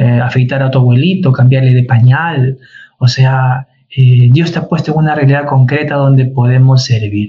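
A man speaks at medium pitch with a dark, mellow tone that is somewhat breathy. His pace is moderate and his intonation fairly even. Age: 40s. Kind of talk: casual chat.

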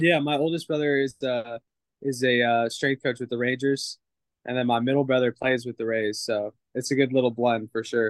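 A man with an American accent speaks at a moderate pace in a medium pitch with fairly even intonation. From Southern California. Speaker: minor league baseball catcher. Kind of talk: interview. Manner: halting, many filler words.

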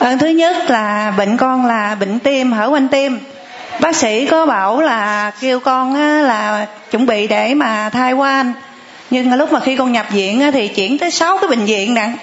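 Over noticeable background noise, a woman with a high voice talks at a fairly slow pace, keeping her loudness very even and her pitch variation ordinary. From Phan Thiết, southern Vietnam. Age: 30s. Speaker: churchgoer. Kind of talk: testimony. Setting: church.

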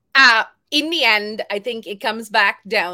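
A woman's fairly high voice, bright and sharp in tone, with ordinary pitch variation at a very slow pace. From India and Tanzania. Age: 40s. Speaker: podcaster and writer. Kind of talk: interview. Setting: video call.

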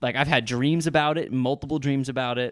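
This man's intonation stays fairly even. His voice sits at a medium pitch. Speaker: self-employed business owner. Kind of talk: casual chat.

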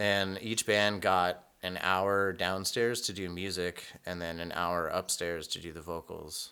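With hardly any pauses, a man speaks in a very deep, low voice that is bright and sharp in tone but flat and monotone in intonation. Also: fairly slow pace. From Reno, Nevada. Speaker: punk musician. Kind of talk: casual interview. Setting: remote call.

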